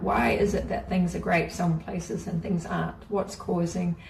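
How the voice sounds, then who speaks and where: A woman's voice with a New Zealand accent at a moderate pace, amid noticeable background noise and audible room echo. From New Zealand, rural Māori community. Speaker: spiritual teacher. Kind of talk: guided course talk.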